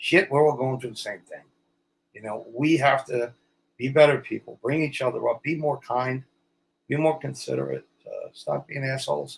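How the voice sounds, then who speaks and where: Big swings in loudness run through a man's speech at a moderate pace. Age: 60s. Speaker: actor. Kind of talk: interview. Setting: studio. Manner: blunt.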